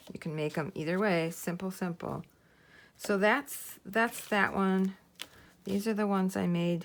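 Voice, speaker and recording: Her pitch medium and her pitch variation ordinary, a woman talks at a fairly slow pace. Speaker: crafting youtuber. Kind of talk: tutorial. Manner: casual, hesitant.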